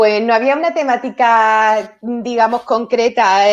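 Her fairly high voice moves at a fairly slow pace, and this woman's pitch varies in an ordinary way.

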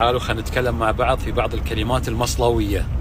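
A man's voice comes through dry with no echo, amid loud background noise. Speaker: sports TV presenter. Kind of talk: casual banter with locals. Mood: playful, laughing. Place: car. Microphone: phone near.

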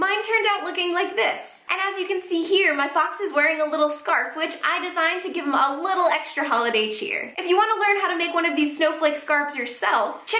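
A woman uses a raised, projected voice at a fairly quick pace. Audible room echo surrounds her. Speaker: craft tutorial host. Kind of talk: tutorial. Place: home room.

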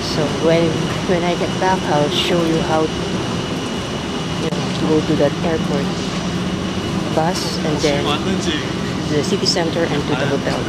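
Speech comes at a fairly slow pace with long, frequent pauses. The sound is dry with no echo, over loud background noise. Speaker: solo traveler vlogger. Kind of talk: casual vlog chat. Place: street. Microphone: phone near.

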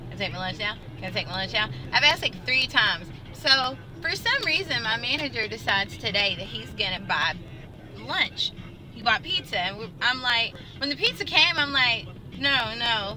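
A woman speaks at a moderate pace with long, frequent pauses. Faint music plays in the background, and the sound is dry with no echo. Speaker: vlogger. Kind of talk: casual vlog chat. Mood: irritated recounting of manager. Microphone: phone near.

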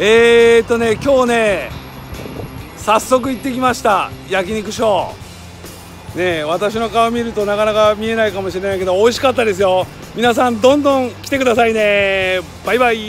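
Clear music plays in the background as a man speaks at a high pitch and a moderate pace, the sound dry with no echo. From Kitakyushu, Fukuoka, Japan. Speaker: elder care business owner. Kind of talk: casual talk to camera. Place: street. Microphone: phone near.

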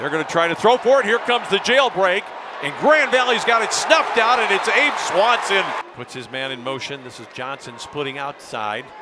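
Over loud background noise, a man talks at a moderate pace in a high voice with very wide pitch swings, the sound dry with no echo. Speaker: play-by-play sports commentator. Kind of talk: live commentary. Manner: animated. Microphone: headset.

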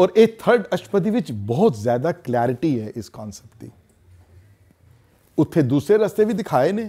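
Over a quiet background, a man with a fairly high pitch and a dark, mellow tone shows vocal fry, very wide pitch swings and big swings in loudness. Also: fairly slow pace. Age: 60s. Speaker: religious teacher. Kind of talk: lecture. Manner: halting. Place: classroom.

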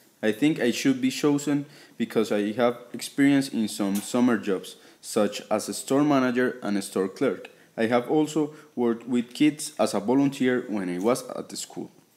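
With a Colombian accent, a man speaks using ordinary pitch variation. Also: moderate pace. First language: Spanish. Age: 20s. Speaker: job applicant. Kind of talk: application video talk to camera.

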